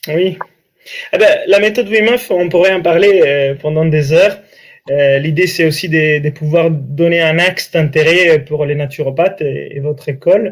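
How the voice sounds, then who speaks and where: Speaking with an Italian accent, a man with a fairly high pitch and ordinary pitch variation talks at a fairly slow pace. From Italy, Italian coast. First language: Italian (speaking French). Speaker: breathing coach and author. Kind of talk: interview.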